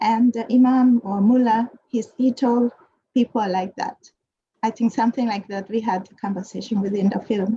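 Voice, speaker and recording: A woman speaks at a moderate pace with a Japanese accent and a fairly high, somewhat breathy voice. The sound is dry and close, with no echo. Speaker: panelist. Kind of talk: panel discussion. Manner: halting.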